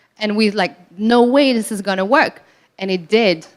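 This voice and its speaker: At a moderate pace, a woman with a non-native accent speaks at medium pitch with fairly even intonation. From Morocco, raised in Belgium. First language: not English. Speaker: entrepreneur. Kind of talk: panel discussion.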